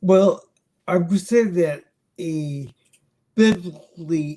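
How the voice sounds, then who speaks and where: A man with an American accent speaks at a very slow pace. His voice is high and has a dark, mellow tone with ordinary pitch variation. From US, Long Island, New York. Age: 60s. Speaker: missionary. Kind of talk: interview.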